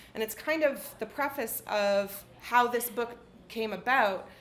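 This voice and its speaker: A woman speaks in a plain, everyday voice with a Canadian accent, her pitch fairly high and her pitch variation ordinary. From Canada, southwestern Ontario. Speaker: author. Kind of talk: reading aloud.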